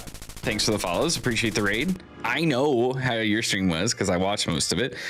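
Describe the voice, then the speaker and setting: With music playing in the background, a man with a medium pitch and lively intonation talks at a fairly quick pace, with hardly any pauses and very even loudness. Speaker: streamer. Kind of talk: casual chat. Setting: live stream.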